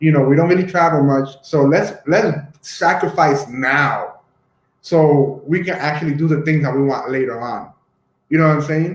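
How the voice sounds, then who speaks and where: The man's voice is fairly high and somewhat breathy, with fairly even intonation. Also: moderate pace. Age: 30s. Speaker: YouTube host. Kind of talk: casual discussion.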